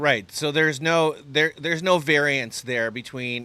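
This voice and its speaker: Moderate-paced male speech in a plain, everyday voice with ordinary pitch variation. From Canada. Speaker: mortgage lender, podcast co-host. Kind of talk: casual podcast discussion. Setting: on location, outside studio.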